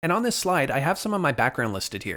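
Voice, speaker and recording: A man talks with a Canadian accent. His pace is very fast. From Canada. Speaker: cybersecurity instructor. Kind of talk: online course lecture. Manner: enthusiastic.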